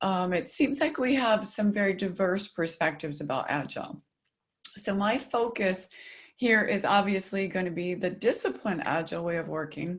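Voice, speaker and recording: A woman with an American accent speaks at a moderate pace and medium pitch. Her voice is somewhat breathy and her intonation lively. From US South, South Carolina. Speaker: agile consultant, keynote speaker. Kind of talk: webinar presentation. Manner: articulate.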